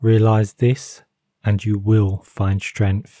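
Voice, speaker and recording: A man's calm, dark, mellow voice, fairly low-pitched and somewhat breathy, at a very slow pace with monotone, flat intonation. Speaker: narrator. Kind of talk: calm motivational quote reading. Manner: calm, slow.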